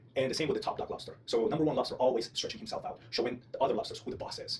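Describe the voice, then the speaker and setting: A man speaks at a very fast pace. He has a non-native accent. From outside the US. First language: not English (English is third language). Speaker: vlogger. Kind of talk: personal monologue. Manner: hesitant, self-correcting.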